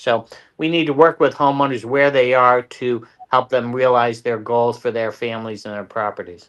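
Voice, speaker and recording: A man talks at a moderate pace and a medium pitch, in a plain, everyday voice. His intonation is fairly even. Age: 60s. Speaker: local political candidate. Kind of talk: interview.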